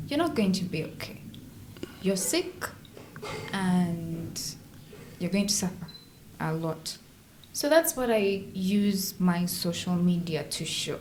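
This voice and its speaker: A woman's medium-pitched voice at a very slow pace, with ordinary pitch variation, long and frequent pauses, and noticeable background noise. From Uganda. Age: 20s. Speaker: actress living with sickle cell disease. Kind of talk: interview answer.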